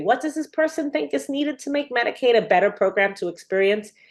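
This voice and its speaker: A woman talks with an American accent. Her pace is very fast. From US Northeast, New York City. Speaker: researcher. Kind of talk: lecture. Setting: webinar.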